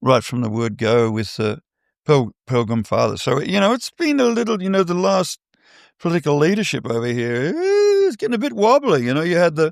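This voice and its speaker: A man with an Australian accent speaks at a fairly quick pace, his high pitch making very wide swings. The recording is very clean, dry and close, with a silent background and no echo. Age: 70s. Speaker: artist manager. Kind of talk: interview.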